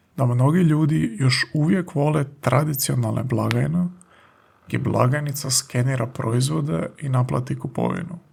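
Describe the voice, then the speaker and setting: A man's somewhat breathy voice sits at a medium pitch, with ordinary pitch variation and very even loudness. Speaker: language teacher podcaster. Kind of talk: language lesson. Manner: slow and clear.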